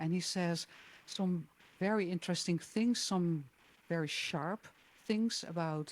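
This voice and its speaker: Here a woman speaks at a medium pitch with ordinary pitch variation. Her pace is fairly slow. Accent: Dutch. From Netherlands. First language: Dutch. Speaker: jazz singer. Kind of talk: interview. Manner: hesitant, many fillers.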